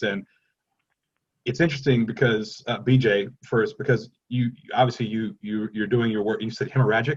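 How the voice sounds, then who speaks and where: A somewhat breathy man talks at a fairly quick pace, his medium-pitched voice showing ordinary pitch variation. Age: 40s. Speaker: panel moderator. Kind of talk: panel discussion.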